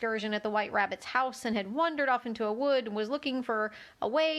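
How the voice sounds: Ordinary pitch variation marks this natural reading voice.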